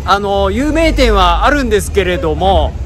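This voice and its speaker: Faint music plays in the background while the speech moves at a fairly slow pace. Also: man. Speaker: travel vlogger. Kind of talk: casual vlog chat. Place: street. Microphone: phone near.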